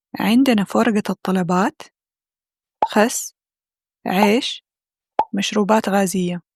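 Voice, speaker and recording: Speaking at a medium pitch with fairly even intonation, a woman goes at a very slow pace. Long, frequent pauses break up her words, and the sound is dry and close with no echo. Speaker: Arabic language teacher. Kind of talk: language-learning vlog narration.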